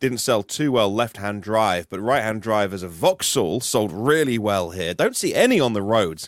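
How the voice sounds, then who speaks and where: Speaking with a British accent, a man uses a fairly low pitch and hardly any pauses. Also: ordinary pitch variation, moderate pace, very clean recording, silent background. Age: 40s. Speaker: EV news podcaster. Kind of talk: casual chat.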